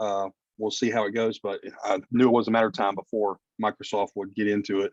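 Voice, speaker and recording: Very fast and flat in a monotone, a man speaks at a fairly low pitch with a dry, close sound and no echo. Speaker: special education teacher. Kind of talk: class presentation.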